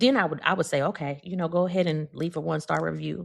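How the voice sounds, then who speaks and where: This woman's voice is very deep and low in pitch, with vocal fry. The recording is very clean, with a silent background. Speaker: podcast host. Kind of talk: casual chat. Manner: loud.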